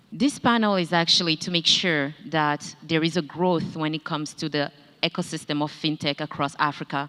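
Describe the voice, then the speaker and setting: On a very clean recording with a silent background, a woman speaks at a moderate pace. Her pitch is very deep and low, her tone bright and sharp, and her intonation fairly even. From Gabon. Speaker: panel moderator. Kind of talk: panel moderation.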